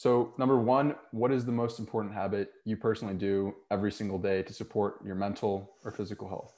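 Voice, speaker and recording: An ordinary speaking voice moves at a fairly quick pace with hardly any pauses and fairly even intonation. The background is quiet. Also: man, fairly low pitch for a man. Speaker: podcast host, author, health coach. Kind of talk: interview with scripted intro.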